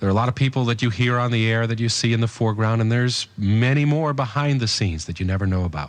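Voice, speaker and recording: Ordinary pitch variation at medium pitch in a man's a plain, everyday voice. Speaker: radio station general manager. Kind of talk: radio tribute introduction.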